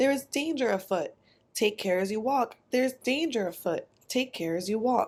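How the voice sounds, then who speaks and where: Putting on a character voice, a woman speaks high-pitched at a moderate pace. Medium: read story.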